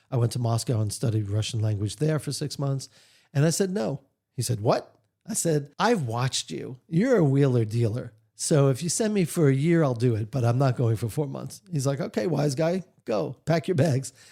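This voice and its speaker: In a very clean recording with a silent background, a man speaks at a moderate pace in a medium pitch, his tone dark and mellow, somewhat breathy, with lively intonation. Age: 60s. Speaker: author and leadership trainer. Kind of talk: interview. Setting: radio studio.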